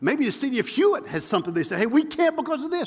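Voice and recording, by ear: Talking at a fast pace, a man moves through big pitch swings.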